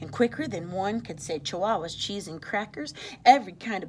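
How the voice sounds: Lively intonation in a natural reading voice.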